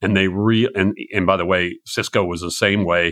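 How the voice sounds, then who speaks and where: Against a quiet background, a man uses a normal speaking voice with fairly low pitch and fairly even intonation. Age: 60s. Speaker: venture capital investor. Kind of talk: interview.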